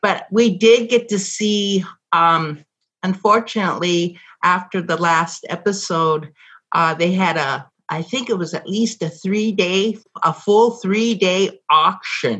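A woman's pitch varies in an ordinary way as she talks very slowly. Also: medium pitch for a woman. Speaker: former TV extra and caller. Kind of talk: casual chat.

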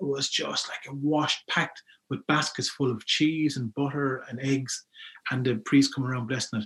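At a moderate pace, a man with a Wexford Irish accent talks in a fairly high pitch with ordinary pitch variation. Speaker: folklorist and youth worker. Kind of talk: interview about folklore.

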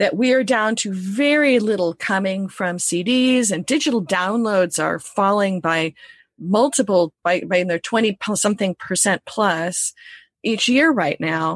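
A woman in an unremarkable speaking voice, at a fairly slow pace with lively intonation, in a dry, close sound with no echo against a quiet background. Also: medium pitch for a woman. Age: 50s. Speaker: music industry educator. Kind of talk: interview.

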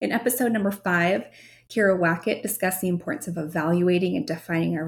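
Somewhat breathy and fairly low for a woman, her voice moves at a fairly quick pace with lively intonation. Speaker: podcast host and marketing agency founder. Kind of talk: solo podcast monologue. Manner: articulate.

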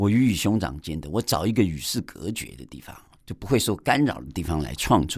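A man with a very deep, low voice and vocal fry talks at a moderate pace. His pitch swings very widely. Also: very clean recording, silent background. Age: 50s. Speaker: podcast host and abstract painter. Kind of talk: radio interview; podcast monologue. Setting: radio studio.

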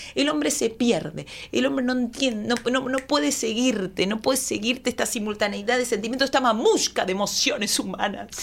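A woman's fairly high, unremarkable speaking voice with lively intonation, a fairly quick pace, very even loudness and hardly any pauses. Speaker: comedian. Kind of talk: comedic casual chat.

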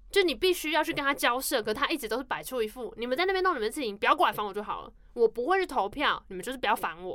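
A very fast, animated voice in a Taiwanese accent, bright and sharp in tone, with very wide pitch swings, big swings in loudness and hardly any pauses. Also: woman, high pitch for a woman. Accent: Taiwanese Mandarin. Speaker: podcast co-host. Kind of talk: casual chat.

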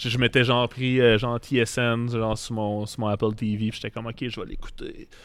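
At a moderate pace, a man talks in a medium pitch with a monotone, flat intonation. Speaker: pro wrestler and brewer. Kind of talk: casual chat. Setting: brewery.

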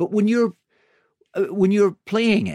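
With an English accent, a man speaks in a dry, close sound with no echo. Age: 40s. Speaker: podcast host. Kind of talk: interview. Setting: studio.

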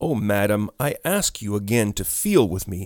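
The pitch of this man's voice swings very widely. His pace is fairly slow. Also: very clean recording, silent background. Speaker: audiobook narrator. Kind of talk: scripted ghost story narration, read aloud with dramatic character voices. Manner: hushed, suspenseful, slow and dramatic; shifts between a woman's narration and the male ghost's pleading.

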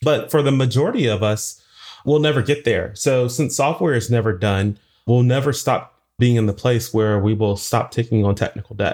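A normal speaking voice at a moderate pace, with ordinary pitch variation and very even loudness, in a very clean recording with a silent background. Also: man, medium pitch for a man. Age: 40s. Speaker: software engineer and conference speaker. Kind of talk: interview.

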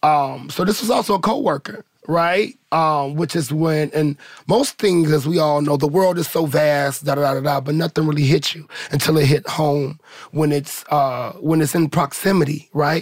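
A man with an American accent, fairly high-pitched, with ordinary pitch variation at a moderate pace, in a normal speaking voice. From St. Louis, Missouri. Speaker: ballroom community member. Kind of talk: group conversation.

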